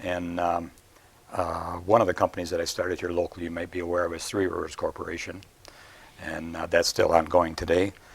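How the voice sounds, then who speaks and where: A man speaks with an American accent in a very deep, low voice, at a fairly quick pace. His intonation is monotone and flat, with noticeable background noise. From US Midwest, Midland, Michigan. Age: 70s. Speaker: retired businessman, entrepreneur. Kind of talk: interview talk, explaining charts. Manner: hesitant, many fillers.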